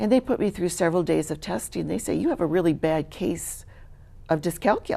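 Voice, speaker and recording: A woman with a Midwestern American accent talks at a fairly quick pace. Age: 60s. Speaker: charity worker and teacher. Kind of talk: interview testimony.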